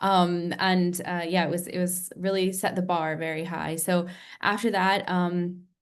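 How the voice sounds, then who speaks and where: Speaking with an American accent, a woman keeps a fairly low pitch and monotone, flat intonation, with audible room echo around her. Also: fairly slow pace. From United States. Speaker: nurse turned health tech founder. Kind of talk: interview on webinar. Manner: many filler ums.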